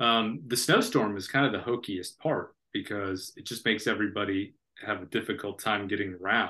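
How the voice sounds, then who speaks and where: Bright and sharp in tone, a man with an American accent speaks at a moderate pace in a fairly low pitch with ordinary pitch variation, against a quiet background. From Florida. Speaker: author. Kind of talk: interview.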